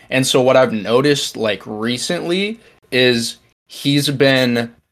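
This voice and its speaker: Lively intonation runs through the speech. It comes from a man. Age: young. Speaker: podcast co-host. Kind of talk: casual chat.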